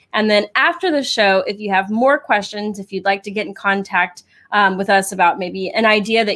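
At a fairly quick pace, a woman speaks with ordinary pitch variation against a quiet background. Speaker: show co-host. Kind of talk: live show hosting announcement. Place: home room. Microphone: studio mic.

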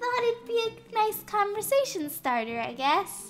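A put-on character voice, squeaky and swinging very widely in pitch, delivered at a moderate pace. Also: woman, extremely high pitch for a woman. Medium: machinima. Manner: breezy, calls people darling.

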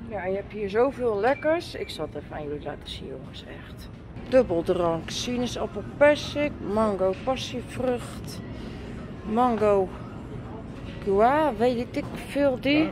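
Delivered at a very slow pace with long, frequent pauses, the speech has big swings in loudness against noticeable background noise. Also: woman. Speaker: vlogger. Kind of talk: casual vlog chat. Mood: relaxed, cheerful.

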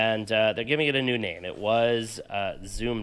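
A man at a moderate pace, medium-pitched, against a quiet background. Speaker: tech podcast host. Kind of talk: casual chat. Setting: hotel room. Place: home room. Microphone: studio mic.

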